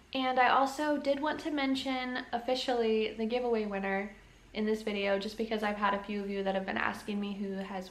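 Against audible room echo, a woman speaks at a fairly quick pace with fairly even intonation. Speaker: family vlogger. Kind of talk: casual vlog chat. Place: home room. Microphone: phone near.

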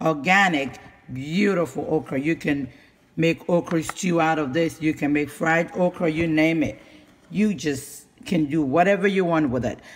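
With ordinary pitch variation, the man delivers his words at a moderate pace. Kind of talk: casual vlog chat. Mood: proud, enthusiastic. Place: kitchen. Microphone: phone near.

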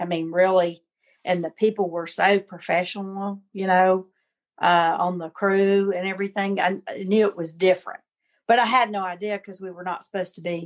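A woman at medium pitch with a Southern US accent, flat monotone intonation, a moderate pace, and a quiet background. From US South, Alabama. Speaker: chef. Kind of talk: casual interview.

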